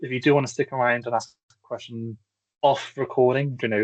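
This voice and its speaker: Very fast speech in a Bristolian accent. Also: man. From England, Bristol. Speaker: accessibility consultant. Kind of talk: webinar presentation. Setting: online webinar. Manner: fast when excited; halting, many repetitions.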